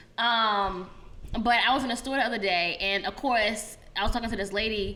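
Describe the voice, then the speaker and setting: Amid noticeable background noise and audible room echo, a woman with an American accent talks at a moderate pace, her fairly high pitch held in fairly even intonation. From Virginia. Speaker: podcast co-host. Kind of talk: casual chat.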